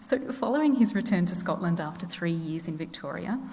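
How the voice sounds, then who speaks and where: In a room with audible echo and noticeable background noise, a soft-spoken woman talks at a moderate pace with a fairly low pitch. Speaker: historian. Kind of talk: lecture.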